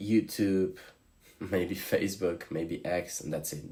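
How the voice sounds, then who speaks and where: A man with a Slavic accent, a very deep, low pitch, ordinary pitch variation and a very slow pace. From Slovenia. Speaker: streamer. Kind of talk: live stream chat.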